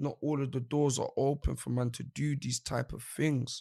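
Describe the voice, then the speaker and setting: In a very clean recording with a silent background, a man with a London accent speaks at a medium pitch and moderate pace in a monotone, flat way. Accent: London Multicultural English. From East London. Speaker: drill rapper. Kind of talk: casual chat.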